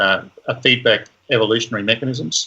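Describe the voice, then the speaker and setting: A man with an Australian accent, medium pitch and fairly even intonation. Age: 70s. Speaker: professor. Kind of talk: interview.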